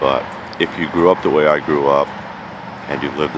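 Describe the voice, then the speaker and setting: A man speaks with a very deep, low pitch. There is noticeable background noise, and the sound is dry with no echo. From New York, the Bronx. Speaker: vlogger living outdoors. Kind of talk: casual vlog monologue. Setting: outdoors at a campsite. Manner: animated. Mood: angry, passionate rant. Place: forest. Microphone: phone near.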